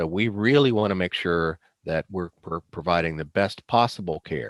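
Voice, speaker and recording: A man uses a normal speaking voice at a fairly slow pace with lively intonation, in a dry, close sound with no echo and a quiet background. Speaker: presenter on addiction treatment. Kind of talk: lecture. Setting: video call.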